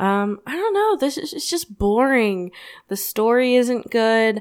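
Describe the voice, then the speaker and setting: Recorded very cleanly with a silent background, a woman with an American accent and an unremarkable speaking voice talks at a fairly slow pace, her fairly high pitch carrying lively intonation. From Florida. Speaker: podcast host. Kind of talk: casual chat.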